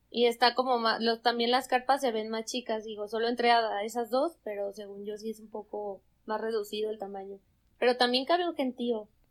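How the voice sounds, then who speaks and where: A fairly high-pitched woman at a fairly quick pace, a plain, everyday voice with fairly even intonation and big swings in loudness, on a very clean recording with a silent background. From Mexico, Zamora, Michoacán. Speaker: podcast guest, traveler. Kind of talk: casual chat.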